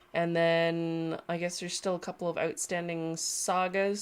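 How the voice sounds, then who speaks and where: In a Canadian accent, a nasal voice speaks at a fairly slow pace on a very clean recording with a silent background. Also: woman. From Canada. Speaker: sculptor and livestream host. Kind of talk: casual livestream chat. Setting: home studio livestream.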